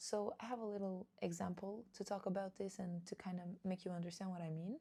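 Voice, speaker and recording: Somewhat breathy and dark, mellow in tone, a woman of medium pitch speaks at a fairly quick pace with fairly even intonation. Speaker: podcast host. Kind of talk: solo podcast monologue.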